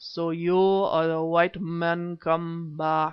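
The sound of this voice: A put-on character voice, guttural and monotone, with flat intonation. The pace is very slow. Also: man.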